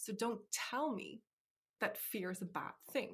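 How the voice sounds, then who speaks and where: A woman speaks with an Irish accent at a moderate pace. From Ireland. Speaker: life coach. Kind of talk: interview.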